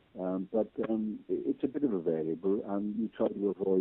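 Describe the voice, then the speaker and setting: With a Welsh accent, a man speaks with ordinary pitch variation. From Wales. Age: 70s. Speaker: patient sharing medical experience. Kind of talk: interview testimony. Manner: hesitant, many fillers.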